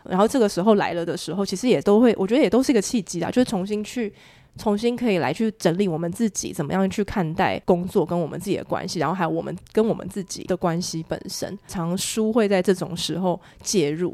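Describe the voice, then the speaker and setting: On a very clean recording with a silent background, a woman with a dark, mellow tone talks very fast at medium pitch with ordinary pitch variation. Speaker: podcast host. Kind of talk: casual interview chat.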